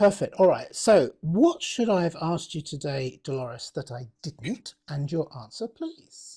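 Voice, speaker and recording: A man with a British accent speaks at a high pitch in a dark, mellow tone, with lively intonation and big swings in loudness. His pace is fairly slow, with hardly any pauses. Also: very clean recording, silent background. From Britain. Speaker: podcast host. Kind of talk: interview.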